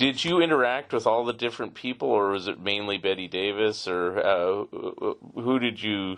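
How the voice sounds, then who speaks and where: Here a man with an American accent has an unremarkable speaking voice, fairly low in pitch, with ordinary pitch variation at a moderate pace. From San Francisco area. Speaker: podcast host. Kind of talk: interview.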